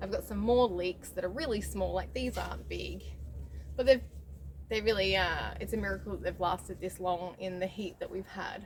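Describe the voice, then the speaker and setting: The speaker is a woman with an Australian accent. She keeps a moderate pace. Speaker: homesteading vlogger. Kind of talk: casual vlog talk. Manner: intermittent speech difficulty.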